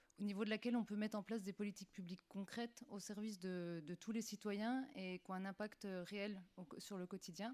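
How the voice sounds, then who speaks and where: This woman has a plain, everyday voice at a medium pitch. She talks at a fairly quick pace with fairly even intonation. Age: 30s. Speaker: municipal election candidate. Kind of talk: candidate self-introduction.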